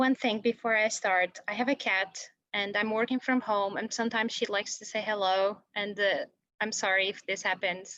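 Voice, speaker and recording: A woman with a Brazilian Portuguese accent speaks at a moderate pace in a fairly high, bright, sharp voice with monotone, flat intonation. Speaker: researcher. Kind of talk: lecture. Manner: halting.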